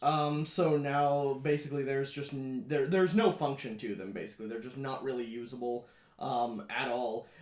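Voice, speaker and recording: A man's fairly high-pitched voice comes through with audible room echo. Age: 20s. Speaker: blind gaming YouTuber. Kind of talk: casual Q&A video. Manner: casual with many fillers.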